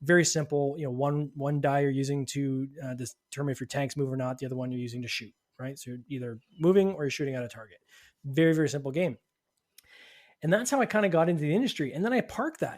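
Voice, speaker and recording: A man with a Canadian accent talks at a very fast pace. His pitch is fairly high and varies in an ordinary way. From Canada. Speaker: podcast host and game designer. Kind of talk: casual interview chat.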